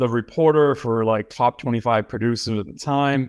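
Over a quiet background, a man with an unremarkable speaking voice talks at a moderate pace with ordinary pitch variation. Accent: American. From Boston, Massachusetts. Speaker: film producer and director. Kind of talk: interview.

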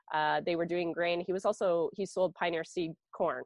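A woman with an Ontario accent speaks at a moderate pace in a fairly low voice. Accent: Canadian (Ontario). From southwestern Ontario, Canada. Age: 40s. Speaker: sheep and grain farmer. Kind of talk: interview. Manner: casual, chatty.

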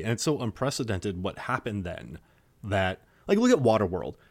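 With an American accent, a man uses a normal speaking voice at medium pitch and a moderate pace on a very clean recording with a silent background. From Wisconsin, US Midwest. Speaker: film podcaster, shark movie expert. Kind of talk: casual chat.

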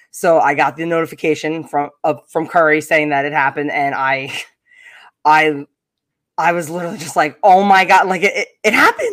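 Someone speaks at a fairly quick pace with a Long Island accent. The recording is very clean, with a silent background. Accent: Long Island New York. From US Northeast, Long Island, New York. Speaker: podcast host guest, baseball fan. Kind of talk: casual chat.

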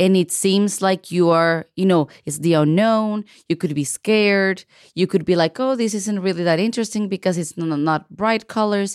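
A woman with a non-native accent speaks at a moderate pace in a medium pitch, using ordinary pitch variation. The recording is very clean with a silent background and a dry, close sound with no echo. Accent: noticeable foreign. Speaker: podcast host, artist. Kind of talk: interview podcast. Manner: animated.

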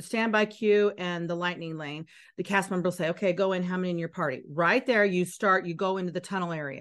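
A woman with a plain, everyday voice speaks at a fairly quick pace against a quiet background. Her pitch is medium and her intonation fairly even. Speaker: Disney tour guide. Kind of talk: tour guide giving directions and insider tips, casual chat. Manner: clear, instructive, friendly.

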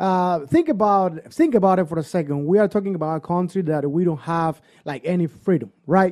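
With a Cuban accent, a man speaks at a fairly quick pace with hardly any pauses. His high-pitched voice has a dark, mellow tone. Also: ordinary pitch variation. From Cuba, Pinar del Rio. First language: Spanish. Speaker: Latin DJ and musician. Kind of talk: casual chat.

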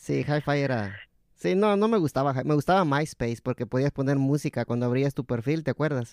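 A normal speaking voice moves at a fairly quick pace with lively intonation and very even loudness, captured with a dry, close sound with no echo over a quiet background. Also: man, fairly high pitch for a man. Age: 30s. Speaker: podcast host. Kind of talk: casual chat.

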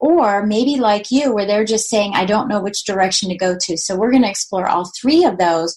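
She has a plain, everyday voice at a medium pitch. This woman talks at a moderate pace with ordinary pitch variation. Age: 50s. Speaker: podcast host, retired mortgage lender. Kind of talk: solo monologue.

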